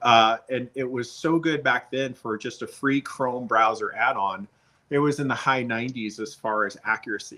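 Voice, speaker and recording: Here a man speaks in a bright, sharp tone. His intonation is fairly even. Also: medium pitch for a man, moderate pace, very clean recording, silent background. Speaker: business coach. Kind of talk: talking-head video monologue. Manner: monotone.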